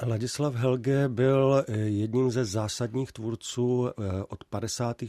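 Very slowly and in a monotone, flat intonation, a man speaks at a medium pitch with a dark, mellow tone, the sound dry and close with no echo. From Czech Republic, South Moravia. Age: 40s. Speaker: film historian and university professor. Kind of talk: radio interview. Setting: radio studio.

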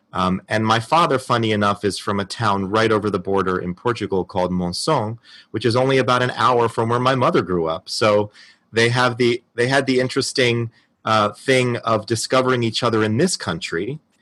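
Against a quiet background, a man in an ordinary speaking voice talks at a fairly quick pace, his medium pitch showing ordinary variation. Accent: American. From New Jersey. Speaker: actor. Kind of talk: recorded personal story.

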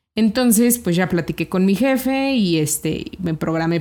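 The recording is very clean, with a silent background. A woman with a medium pitch and a dark, mellow tone talks at a moderate pace with very wide pitch swings. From Mexico, Celaya, Guanajuato. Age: 30s. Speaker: financial educator and entrepreneur. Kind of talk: interview.

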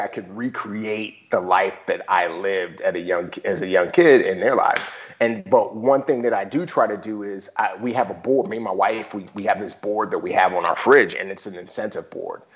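A man speaks with an American accent at a moderate pace. His loudness swings widely, and he hardly pauses. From Bronx, New York City. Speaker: former navy special forces, author and actor. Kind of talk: interview.

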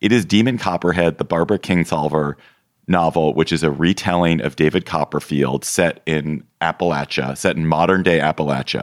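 Very deep, low male voice with vocal fry, very even loudness, ordinary pitch variation and a moderate pace, dry and close with no echo. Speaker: political podcast host. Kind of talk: casual chat.

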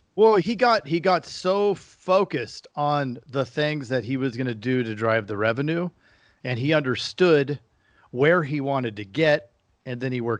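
At a moderate pace, a man of medium pitch speaks with lively intonation, recorded dry and close with no echo over a quiet background. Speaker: podcast host. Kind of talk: casual chat. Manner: animated.

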